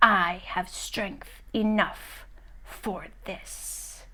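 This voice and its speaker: A woman's put-on character voice, whispering, hissing and growling. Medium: read story. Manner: menacing.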